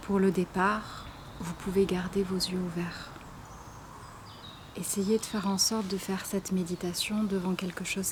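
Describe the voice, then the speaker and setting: Over noticeable background noise, a woman with a calm tone and a medium pitch speaks at a fairly slow pace in monotone, flat intonation, with long, frequent pauses. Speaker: meditation guide and YouTuber. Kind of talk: guided meditation; casual intro to camera. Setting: outdoors. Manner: soft-spoken, calm.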